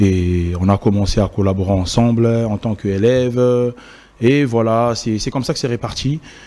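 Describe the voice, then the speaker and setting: This man's voice has a dark, mellow tone, medium pitch, ordinary pitch variation and a moderate pace. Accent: Congolese. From DR Congo, Kinshasa. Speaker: event host and emcee. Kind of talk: interview. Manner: hesitant.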